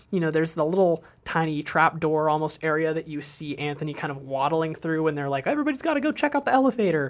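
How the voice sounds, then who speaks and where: Very fast speech from a man with a fairly high pitch, on a very clean recording with a silent background. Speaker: movie podcast host. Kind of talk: casual chat.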